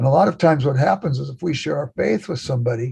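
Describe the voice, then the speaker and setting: A man's fairly high, somewhat breathy voice with a dark, mellow tone, an American accent, ordinary pitch variation and a moderate pace. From Los Angeles, California. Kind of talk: podcast interview. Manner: animated storytelling.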